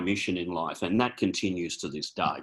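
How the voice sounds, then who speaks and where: A man's very deep, low voice, bright and sharp in tone, with an Australian accent. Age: 60s. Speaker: chiropractor and naturopath. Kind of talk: informal presentation. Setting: video call. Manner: hesitant, many fillers.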